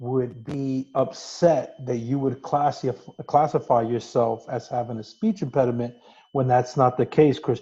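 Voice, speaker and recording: A man with a Brooklyn accent speaks at a fairly slow pace with fairly even intonation. His voice is somewhat breathy, with a dark, mellow tone. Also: quiet background. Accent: New York (Brooklyn). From New York City, Brooklyn. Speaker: podcast co-host. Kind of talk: casual chat. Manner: teasing, interrupting.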